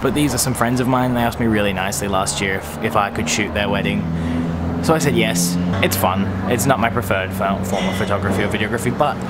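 Music plays in the background as a man speaks. He talks at a very fast pace with ordinary pitch variation. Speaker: wedding photographer vlogger. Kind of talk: casual vlog chat. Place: hall. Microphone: phone near.

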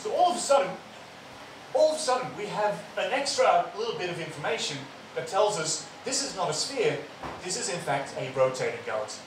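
Fairly quick speech from a man, set against noticeable background noise and audible room echo. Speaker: speaker. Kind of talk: public science talk. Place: hall.

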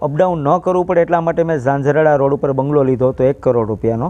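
Fairly high for a man, this voice carries a dark, mellow tone. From Saurashtra, Gujarat (Junagadh district). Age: young. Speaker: old age home founder. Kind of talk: interview.

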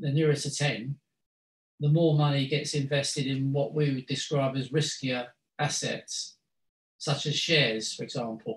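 A somewhat breathy voice with ordinary pitch variation moves at a moderate pace amid audible room echo. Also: man. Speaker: guest lecturer. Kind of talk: lecture. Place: meeting room. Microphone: video call.

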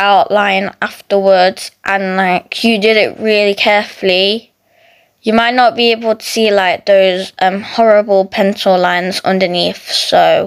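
Against a quiet background, a woman talks at a very slow pace with fairly even intonation. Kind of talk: casual drawing tutorial chat. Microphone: phone near.

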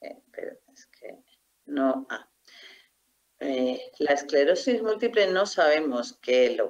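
A woman at a very slow pace, with very wide pitch swings against a quiet background. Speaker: doctor and researcher. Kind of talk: lecture. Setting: video call. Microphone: video call.

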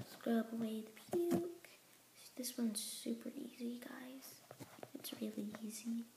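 Noticeable background noise behind a woman of fairly high pitch, at a fairly slow pace with ordinary pitch variation. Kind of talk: casual gameplay commentary. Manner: upbeat, excitable.

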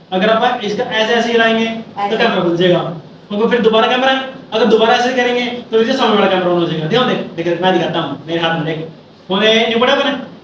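A man with a high-pitched voice talks at a moderate pace, his pitch varying in an ordinary way. Light background noise and audible room echo surround him. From Haryana, India. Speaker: vlogger. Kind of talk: casual vlog, phone feature demo. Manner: casual, chatty. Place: home room. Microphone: phone near.

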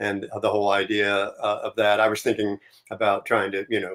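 At a moderate pace, a man talks with a fairly low pitch over a quiet background. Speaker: remote guest. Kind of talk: interview answer. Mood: relaxed, reflective. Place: home room. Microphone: video call.

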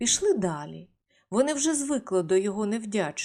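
Lively intonation in a reading-aloud passage, natural voice, quiet backdrop

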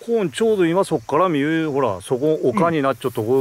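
A fairly high-pitched man with a Kagoshima accent speaks at a fairly quick pace, the sound dry with no echo and light noise in the background. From Kagoshima, Japan. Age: old. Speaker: local guide walking tour. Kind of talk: casual talk while walking. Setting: outdoors. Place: open country. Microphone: phone near.

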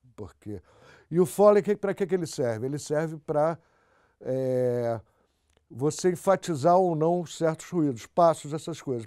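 Over a quiet background, a man with a fairly high pitch and a dark, mellow tone talks with lively intonation. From Brazil. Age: 60s. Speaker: film sound recordist. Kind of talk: interview monologue. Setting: audio studio. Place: studio.

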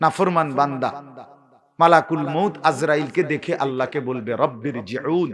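With ordinary variation in his pitch, a man talks in a fairly high voice. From Bangladesh, Cumilla town. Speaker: Islamic preacher. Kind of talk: sermon. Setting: open-air religious gathering under a marquee with audience. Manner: animated.

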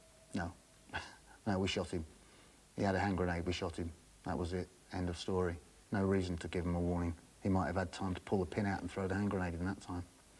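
A man speaks with a very deep, low pitch. His delivery is very fast and monotone, with flat intonation. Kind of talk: interview answer. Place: home room.

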